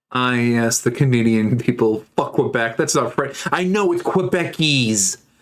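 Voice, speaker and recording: In an ordinary speaking voice, a man at medium pitch talks at a fairly slow pace with lively intonation and very even loudness. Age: 30s. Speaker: streamer. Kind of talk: casual chat.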